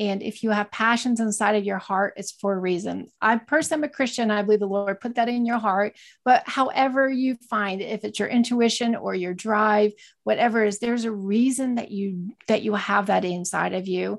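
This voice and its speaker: Fairly high-pitched, a woman speaks in a normal speaking voice at a fairly quick pace with hardly any pauses. Her intonation stays fairly even. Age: 40s. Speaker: entrepreneur and online reseller. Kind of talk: interview.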